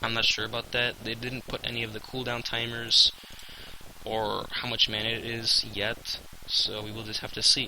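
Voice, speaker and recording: The voice moves at a moderate pace. Noticeable background noise can be heard. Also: man. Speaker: gaming youtuber. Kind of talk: casual video commentary. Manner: hesitant, many fillers.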